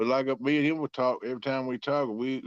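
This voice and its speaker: Very fast speech from a man with a strong southern Virginia accent, dry and close with no echo. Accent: strong rural southern Virginia twang. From South Central Virginia. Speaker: catfishing angler. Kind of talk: casual chat.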